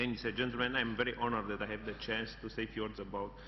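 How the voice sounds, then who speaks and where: Audible room echo surrounds the speech. A man talks at a very fast pace. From Romania. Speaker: national security advisor. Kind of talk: conference speech. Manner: halting.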